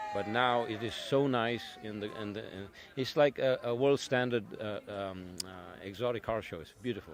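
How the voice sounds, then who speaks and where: Noticeable background noise sits behind a man speaking at a moderate pace and medium pitch with ordinary pitch variation. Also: big swings in loudness. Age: 60s. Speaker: car collector and custom shop owner. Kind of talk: interview.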